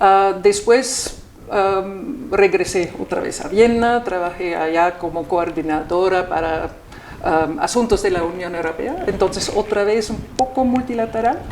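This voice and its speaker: Noticeable background noise sits behind a fairly slow voice with ordinary pitch variation. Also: woman, medium pitch for a woman. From Austria. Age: 60s. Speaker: ambassador. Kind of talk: interview. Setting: embassy. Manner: halting, many repetitions and fillers.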